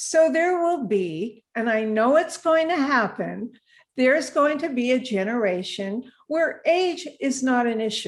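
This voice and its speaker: With very wide pitch swings, a woman speaks at a fairly slow pace in a high pitch. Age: 80s+. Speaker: age activist. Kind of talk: live stream interview. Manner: animated.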